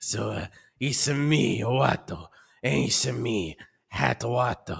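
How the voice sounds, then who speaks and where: A put-on character voice from a man at medium pitch, at a very slow pace. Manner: comic, silly.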